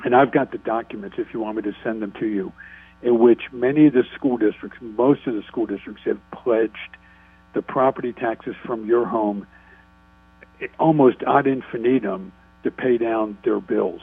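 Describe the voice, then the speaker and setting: A man with a plain, everyday voice, medium pitch, fairly even intonation, moderate pace. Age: 60s. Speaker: state politician. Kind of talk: radio interview.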